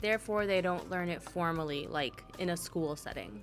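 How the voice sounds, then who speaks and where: Speaking with a Spanish accent, a woman keeps a moderate pace and lively intonation. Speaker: stationery vlogger and Spanish interpreter. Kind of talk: scripted voiceover narration. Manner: casual, chatty.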